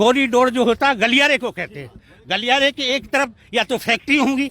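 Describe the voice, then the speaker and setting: The sound is dry and close with no echo as a man projects his raised voice at a moderate pace. His pitch is extremely high and his tone bright and sharp. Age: 70s. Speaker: farmers' union leader. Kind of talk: political interview.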